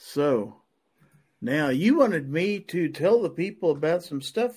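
This man, speaking with an American accent, swings very widely in pitch on a very clean recording with a silent background. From Kansas. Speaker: podcast host. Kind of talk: live-streamed panel chat. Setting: live stream.

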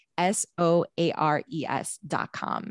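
Dry and close with no echo, a woman's fairly low-pitched voice comes through. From US Midwest, Chicago. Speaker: podcaster and former journalist. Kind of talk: interview.

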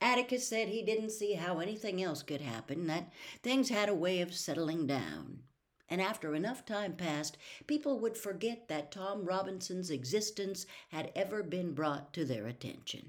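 Calm woman at a moderate pace, medium in pitch, with very wide pitch swings. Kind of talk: audiobook reading of a novel. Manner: measured, even-paced narration with a calm storyteller's cadence.

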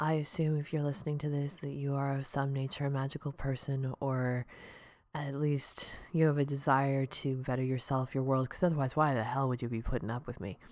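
A woman speaks quietly in a very deep, low voice. Her pace is fairly quick and her intonation fairly even. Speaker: podcast host. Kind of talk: solo podcast monologue. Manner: casual, rambling with fillers.

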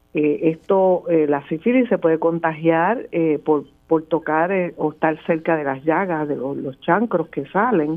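At a fairly slow pace, a woman talks in an unremarkable speaking voice, fairly low in pitch with ordinary pitch variation. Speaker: epidemiologist. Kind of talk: radio interview.

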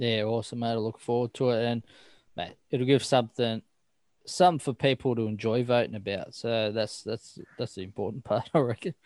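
Over a silent background on a very clean recording, a man talks fairly quickly at a medium pitch with ordinary pitch variation, the sound dry and close with no echo. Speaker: podcast host. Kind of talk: casual chat.

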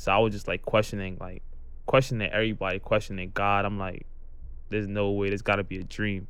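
With a New York accent, a man with a fairly low pitch speaks at a very fast pace in a monotone, flat intonation, with audible room echo around him. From Brooklyn, New York. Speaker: amputee college football player. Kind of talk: interview testimony.

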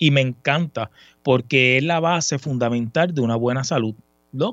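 Using ordinary pitch variation at a moderate pace, a man talks in an ordinary speaking voice. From Puerto Rico. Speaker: sports section supervisor. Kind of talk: casual chat.

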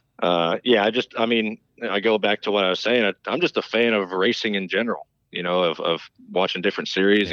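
A man's bright, sharp tone with ordinary pitch variation, dry and close with no echo, over a quiet background. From North Carolina (High Point). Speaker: race car driver. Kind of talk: interview.

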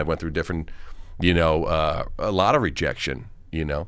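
Speaking with a Long Island accent, a man has a very deep, low pitch with ordinary variation. His pace is fairly quick. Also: very clean recording, silent background. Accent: New York (Long Island). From Long Island, New York. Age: 50s. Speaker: actor and film director. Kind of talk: casual interview chat.

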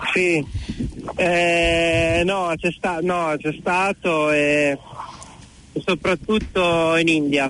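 Very slowly and at a high pitch, a man speaks with fairly even intonation and very even loudness. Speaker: motorcycle traveller. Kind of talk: phone interview.

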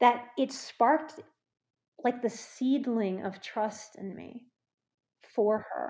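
This woman has a fairly high pitch, an American accent, a somewhat breathy sound and ordinary pitch variation. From US South, New Orleans. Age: 40s. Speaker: psychotherapist. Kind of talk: testimony. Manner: halting.

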